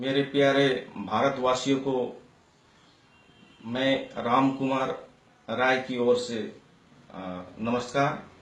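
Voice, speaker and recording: With audible room echo and noticeable background noise, a man speaks at a medium pitch. His intonation is fairly even, and he takes long, frequent pauses. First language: Nepali (speaking Hindi). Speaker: citizen commentator. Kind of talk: political opinion monologue. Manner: halting, many fillers.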